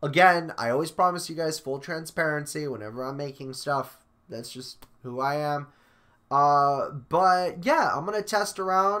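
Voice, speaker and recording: A man with a bright, sharp tone speaks at a moderate pace against a quiet background. His pitch varies in an ordinary way while his loudness swings widely. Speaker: vlogger. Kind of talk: casual vlog chat. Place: home room.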